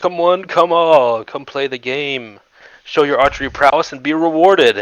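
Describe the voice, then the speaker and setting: Using a put-on character voice, a man speaks at a fairly high pitch. He keeps a moderate pace. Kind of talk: theatrical. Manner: inviting, carnival-barker-like.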